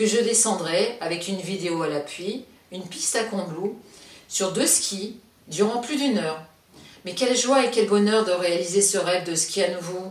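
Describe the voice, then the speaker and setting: Over noticeable background noise, a woman speaks at a medium pitch with ordinary pitch variation and audible room echo. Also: moderate pace. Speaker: stroke survivor sharing her experience. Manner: curt intonation, speaks without breathing.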